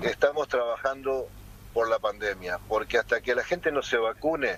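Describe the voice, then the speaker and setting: Pitch varies in a normal way in this rather slow speech. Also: man. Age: 60s. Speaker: mayor and political candidate. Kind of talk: interview. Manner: hesitant, many fillers.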